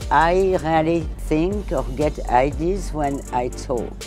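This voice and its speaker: Over music in the background, a woman speaks in a strong French accent. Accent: thick French. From France. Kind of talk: interview answer.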